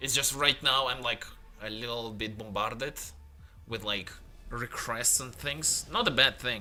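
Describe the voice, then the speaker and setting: Music plays in the background as a man speaks at a fairly slow pace and medium pitch, with fairly even intonation and long, frequent pauses. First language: Russian (also Italian). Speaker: game developer and 3D modeler streamer. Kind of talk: casual livestream chat. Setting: late-night livestream at home. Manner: quiet, held-back volume; halting, with fillers.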